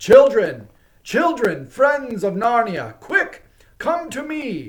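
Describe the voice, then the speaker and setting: A man performs in a put-on character voice. He is loud, with lively intonation. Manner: loud, commanding.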